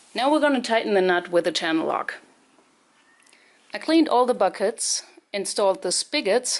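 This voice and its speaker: Speaking with a non-native accent, a woman uses lively intonation and leaves long, frequent pauses. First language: not English. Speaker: home gardening video maker. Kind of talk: tutorial. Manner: casual, explanatory.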